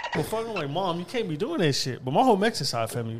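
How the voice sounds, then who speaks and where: A man rushes along at a very fast speed, his pitch swinging very widely, amid noticeable background noise. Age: 20s. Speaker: podcaster. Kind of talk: casual chat.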